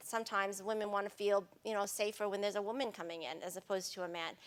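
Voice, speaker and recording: Speaking at a very fast pace, a woman with an American accent keeps her intonation fairly even. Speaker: sustainability expert, panelist. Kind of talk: panel discussion. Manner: casual, hesitant with fillers.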